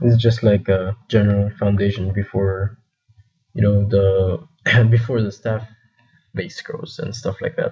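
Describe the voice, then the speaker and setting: A man's pitch moves in an ordinary way as he talks. Behind him, music can be heard. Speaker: game server admin leading staff meeting. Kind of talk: casual group meeting.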